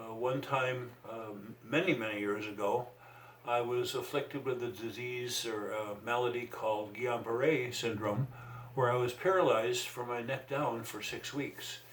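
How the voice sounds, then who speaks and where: There is audible room echo and noticeable background noise around a man with a medium pitch. He talks at a fairly slow pace with fairly even intonation. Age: 70s. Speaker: retired mental health worker and trainer. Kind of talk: interview. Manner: halting.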